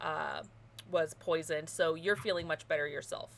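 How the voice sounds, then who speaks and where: Vocal fry runs through this woman's voice. She speaks at a moderate pace. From Germany. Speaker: game master. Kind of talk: tabletop roleplay narration. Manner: loud. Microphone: possible echo.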